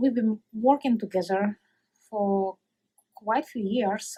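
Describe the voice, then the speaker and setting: A somewhat breathy voice with a Russian accent and a dark, mellow tone, at a moderate pace with fairly even intonation, the sound dry and close with no echo. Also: woman. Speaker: coworker of retiree. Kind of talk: recorded farewell message. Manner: halting.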